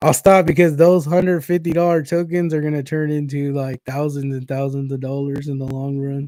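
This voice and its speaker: Speaking with a Kentucky accent, a man delivers fairly quick, nearly pause-free speech in a fairly high pitch, with a dark, mellow tone and fairly even intonation. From Inland Empire, Southern California. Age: 40s. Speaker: crypto livestreamer. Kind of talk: casual livestream chat. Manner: casual, rambling with fillers.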